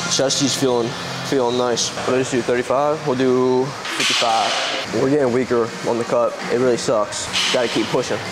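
Music is heard in the background. A man talks at a moderate pace. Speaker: fitness vlogger. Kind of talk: casual vlog chat. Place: gym. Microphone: lapel.

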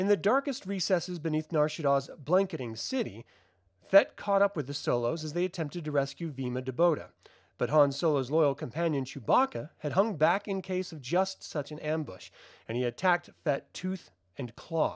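Here is a man with a plain, everyday voice, a fairly high pitch, lively intonation and a moderate pace. The recording is very clean with a silent background, and the sound is dry and close with no echo. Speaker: channel host narrating comics. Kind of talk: reading aloud.

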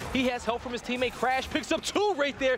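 A man speaks very fast, and noticeable background noise is present. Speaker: esports caster. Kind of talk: live commentary. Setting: stage with audience. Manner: animated.

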